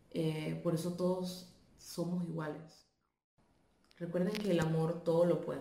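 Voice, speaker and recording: A woman's fairly low, monotone, flat voice at a fairly slow pace, with long, frequent pauses and audible room echo. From Panama. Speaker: video commenter. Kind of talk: video testimony.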